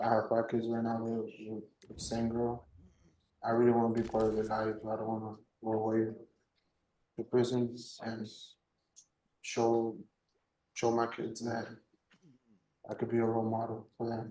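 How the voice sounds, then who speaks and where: Amid audible room echo, a man speaks in a monotone, flat intonation with a dark, mellow tone and long, frequent pauses. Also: medium pitch for a man, moderate pace. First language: Spanish. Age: 20s. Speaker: defendant in court. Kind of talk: court testimony. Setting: courtroom. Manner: halting.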